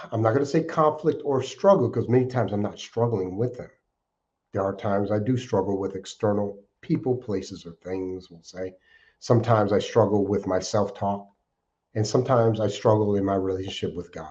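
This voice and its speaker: A man with an American accent, somewhat breathy and dark, mellow in tone, at a fairly low pitch and fairly quick pace, with ordinary pitch variation and big swings in loudness. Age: 60s. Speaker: podcast guest sharing recovery life story. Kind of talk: interview testimony. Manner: reflective, with frequent fillers.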